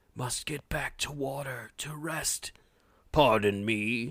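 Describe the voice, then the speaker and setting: Using a put-on character voice, a man sounds raspy at medium pitch and talks at a fairly slow pace. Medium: read story. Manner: formal, terse.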